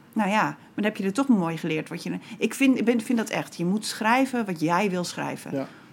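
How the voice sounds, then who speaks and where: Lively intonation runs through a woman's somewhat breathy speech. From Groningen province, Netherlands (Bedum). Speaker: poet and writer. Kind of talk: casual interview.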